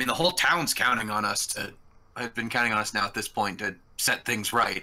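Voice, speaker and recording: A raspy, put-on character voice delivers the lines at a moderate pace. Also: man. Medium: actual play. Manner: halting, hedging with fillers.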